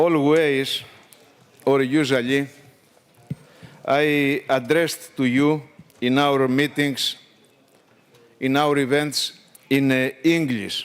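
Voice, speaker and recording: At a very slow pace, a man with a Greek accent talks in a fairly high, monotone, flat voice of very even loudness, with long, frequent pauses. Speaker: trade union leader. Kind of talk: formal speech. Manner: halting.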